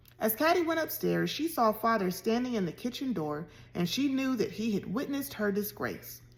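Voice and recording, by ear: Someone reads text aloud. The reading voice is natural.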